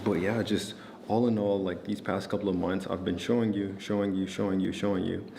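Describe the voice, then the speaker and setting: In a room with audible echo, a man speaks at a fairly low pitch, his intonation flat and monotone and his tone calm and relaxed. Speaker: trading content creator. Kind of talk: casual talk to camera. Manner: calm, relaxed.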